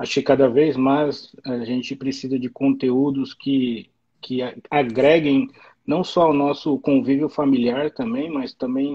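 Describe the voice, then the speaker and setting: A man with a fairly high voice speaks at a fairly slow pace in a monotone, flat intonation. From Brazil. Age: 40s. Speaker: immigrant worker in the US. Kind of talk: live stream interview.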